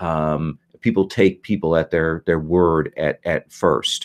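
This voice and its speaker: Recorded dry and close with no echo, a man with an American accent speaks at a fairly slow pace. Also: very clean recording, silent background. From Indiana, US Midwest. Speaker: game master. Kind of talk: game session briefing. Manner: halting, many fillers.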